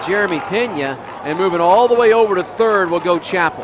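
Over crowd noise in the background, a man talks at a moderate pace in a high-pitched voice, the sound dry with no echo. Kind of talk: live sports commentary. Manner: self-correcting, slightly stumbling. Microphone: headset.

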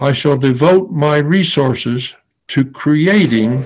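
Somewhat breathy, a man speaks at a very slow pace with lively intonation. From Philadelphia area, USA; Pennsylvania. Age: 80s+. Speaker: Quaker peace activist and war tax resister. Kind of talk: personal memoir talk to an audience. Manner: slow, measured, with hesitations. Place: home room. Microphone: webcam.

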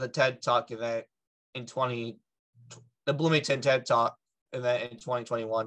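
A man at a moderate pace with monotone, flat intonation, over a quiet background. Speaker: podcast guest. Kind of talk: interview answer. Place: home room. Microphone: video call.

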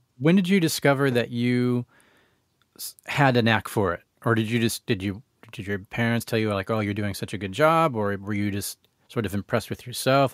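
This man has an unremarkable speaking voice, medium in pitch with ordinary pitch variation and a fairly quick pace. The sound is dry and close, with no echo. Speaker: podcast host. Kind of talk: casual interview. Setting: video call.

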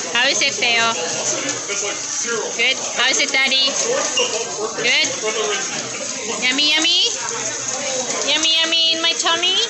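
Against crowd noise in the background, a woman speaks at a moderate pace with ordinary pitch variation and long, frequent pauses. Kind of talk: casual vlog chat. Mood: cheerful and affectionate. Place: cafe. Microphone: phone near.

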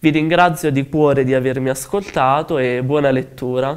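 The speaker talks at a fairly slow pace with ordinary pitch variation. The background is quiet. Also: man. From southern Italy, Cilento (Campania); southern Italy. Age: 20s. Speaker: novelist. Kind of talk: interview statement. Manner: halting, many fillers. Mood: calm, earnest. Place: studio. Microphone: lapel.

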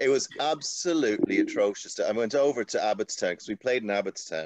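A man talking at a very fast pace, dry with no echo, over a quiet background. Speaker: guest. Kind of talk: interview answer. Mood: amused, candid. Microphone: video call.

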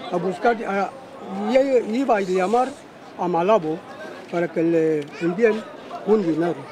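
Crowd noise fills the background as a man speaks in a high pitch with ordinary pitch variation. He goes at a fairly slow pace, with long, frequent pauses. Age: old. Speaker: interviewed local resident. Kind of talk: interview answer. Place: street.

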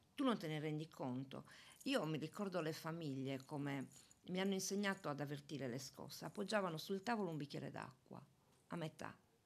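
With a very deep, low pitch, a woman talks at a fairly quick pace using lively intonation. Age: 60s. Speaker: retiring municipal police officer; radio guest. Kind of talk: interview. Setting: studio. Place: studio. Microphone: studio mic.

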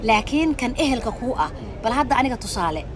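A woman at a fairly high pitch with big pitch swings and a very fast pace, over clear background noise

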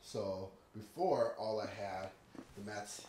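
The recording carries audible room echo along with light background noise. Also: man. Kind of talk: casual vlog chat. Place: garage. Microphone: phone near.

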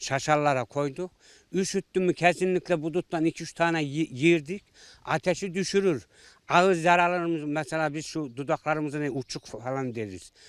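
In a very clean recording with a silent background and a dry, close sound with no echo, a man speaks at a moderate pace with fairly high pitch and ordinary pitch variation. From Central Anatolia, Ankara countryside. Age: 60s. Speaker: villager. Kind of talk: interview. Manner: halting.

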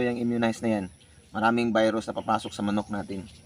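A man at a medium pitch, very fast and flat in a monotone. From Mindanao, Davao (Bisaya speaker). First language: Cebuano (Bisaya) (speaking Tagalog). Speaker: poultry vlogger. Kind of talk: tutorial. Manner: halting, with many fillers.

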